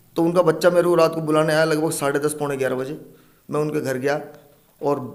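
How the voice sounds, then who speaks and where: At a moderate pace, a man speaks in a fairly high pitch with fairly even intonation. Noticeable background noise is present. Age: 40s. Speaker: snake catcher. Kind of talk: interview.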